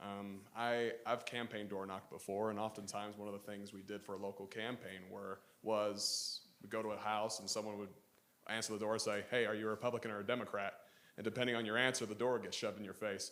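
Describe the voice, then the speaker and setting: Here a man talks at a fairly low pitch with a slight Southern US accent. His intonation is monotone and flat. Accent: slight Southern drawl. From Utah. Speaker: university student. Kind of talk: audience question.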